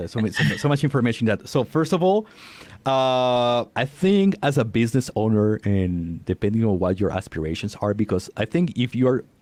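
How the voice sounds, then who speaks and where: Speaking in a non-native accent, a man uses medium pitch and a moderate pace, his pitch swinging very widely. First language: not English. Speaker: podcast coach. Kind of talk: interview. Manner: halting.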